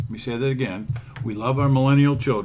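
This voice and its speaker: A man with a medium pitch, an ordinary speaking voice, and ordinary pitch variation. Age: 60s. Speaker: podcast host, attorney. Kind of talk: casual podcast chat.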